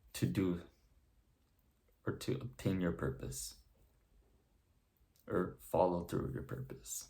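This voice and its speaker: Very slowly and with long, frequent pauses, a man speaks in a very deep, low, dark, mellow voice with vocal fry, his pitch swinging very widely. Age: young. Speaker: self-improvement content creator. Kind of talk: motivational talk to camera.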